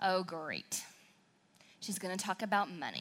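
Speaking at a moderate pace with an American accent, a woman uses a bright, sharp, animated tone at a medium pitch. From southern Wisconsin. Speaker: church speaker. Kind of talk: sermon.

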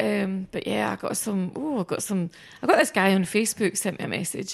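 Against a quiet background, a woman talks at a moderate pace in a Scottish accent. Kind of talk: casual chat.

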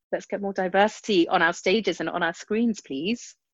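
In a British accent, a woman talks fairly quickly with fairly even intonation against a quiet background. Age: 30s. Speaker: comedian. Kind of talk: casual chat.

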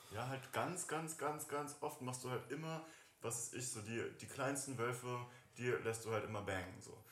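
Amid audible room echo, a man talks at a moderate pace in a medium pitch with ordinary pitch variation. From Germany, Göttingen. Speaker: school friend of host. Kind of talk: casual chat.

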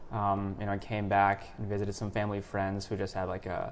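This man has a fairly low voice. He keeps to a moderate pace. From born in India, grew up in the US. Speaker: podcast host. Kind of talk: casual conversational interview.

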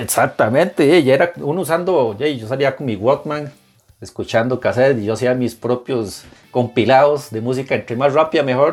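A man with a medium pitch holds a moderate pace. Behind him music plays, and his pitch shows ordinary variation. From Costa Rica. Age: 40s. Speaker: music blogger. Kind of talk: casual interview.

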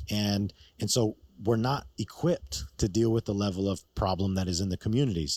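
With an American accent and a plain, everyday voice, a man talks fairly quickly at a fairly low pitch, his intonation lively and the sound dry and close with no echo. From New York.

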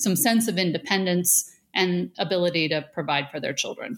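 A woman with an American accent and an unremarkable speaking voice, medium-pitched with lively intonation at a fairly quick pace, in a very clean recording with a silent background. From Western New York (south of Buffalo). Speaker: food company CEO. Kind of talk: interview.

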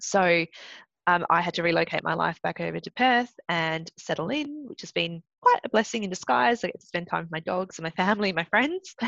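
A woman with an Australian accent speaks at a fairly low pitch and a fairly quick pace, with lively intonation and big swings in loudness. The sound is dry and close, with no echo. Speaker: Olympic swimmer and lawyer. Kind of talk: interview.

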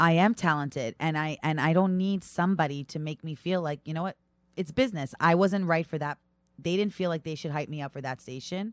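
A woman with a New York accent speaks at a fairly low pitch with ordinary pitch variation, in a very clean recording with a silent background and a dry, close sound with no echo. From New York (Brooklyn, Long Island). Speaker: stand-up comedian and reality TV personality. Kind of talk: casual chat.

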